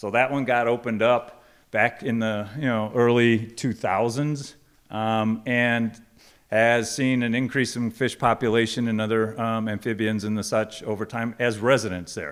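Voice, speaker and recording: In a very clean recording with a silent background, a man with an American accent speaks at a medium pitch. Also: fairly even intonation, moderate pace. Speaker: project presenter at a public meeting. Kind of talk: public meeting presentation. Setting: church hall with audience, microphone. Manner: loud; halting, many ums.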